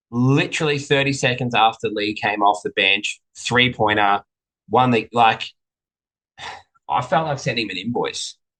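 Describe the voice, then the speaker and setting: With an Australian accent and a bright, sharp tone, a man speaks at medium pitch and a moderate pace with ordinary pitch variation and long, frequent pauses, the sound dry and close with no echo. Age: middle-aged. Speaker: racehorse trainer. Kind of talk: casual chat.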